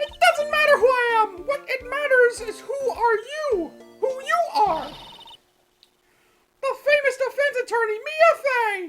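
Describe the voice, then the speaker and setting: A man's put-on character voice at an extremely high pitch, fairly slow, with long, frequent pauses and music in the background. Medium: game stream. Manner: pushy, urgent.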